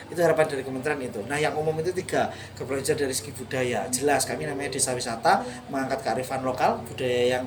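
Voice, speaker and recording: A man's medium-pitched voice at a very fast pace, with ordinary pitch variation, audible room echo and noticeable background noise. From East Java, Indonesia. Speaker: tourism village manager. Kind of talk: interview. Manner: fluent, practiced.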